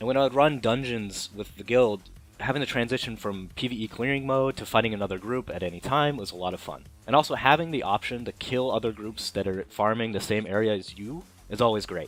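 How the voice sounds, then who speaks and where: Music plays in the background while a man speaks at a medium pitch. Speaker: game reviewer. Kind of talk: game review commentary. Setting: low-quality microphone.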